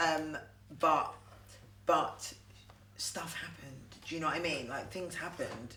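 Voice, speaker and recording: Amid noticeable background noise and audible room echo, a woman with a very deep, low voice and ordinary pitch variation speaks fairly slowly, with long, frequent pauses and big swings in loudness. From Southampton, southern England. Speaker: actress. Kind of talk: casual chat.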